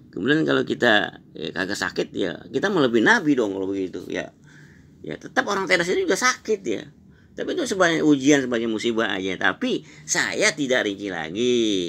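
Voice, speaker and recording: Bright, sharp and edged with vocal fry, the voice moves at a fairly quick pace with very wide pitch swings. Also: man, medium pitch for a man. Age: 70s. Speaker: breathing exercise practitioner. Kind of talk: interview testimony. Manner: casual, repetitive fillers.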